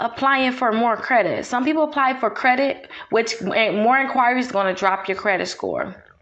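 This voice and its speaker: A woman speaks at a high pitch with hardly any pauses. Her loudness stays very even over noticeable background noise. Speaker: realtor and credit repair advisor. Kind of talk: tutorial. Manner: fast.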